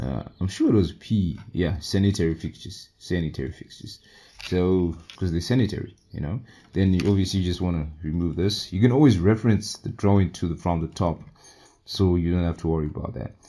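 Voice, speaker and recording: His voice is very deep and low. The man's tone is dark and mellow. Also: ordinary pitch variation, fairly quick pace. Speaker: civil engineering tutorial youtuber. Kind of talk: software tutorial. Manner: casual, thinking aloud.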